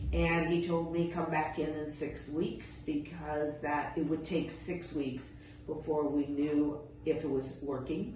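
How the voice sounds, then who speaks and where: Noticeable background noise behind a woman with a very deep, low pitch, a fairly slow pace and monotone, flat intonation. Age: 70s. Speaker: patient. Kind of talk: patient testimonial to camera.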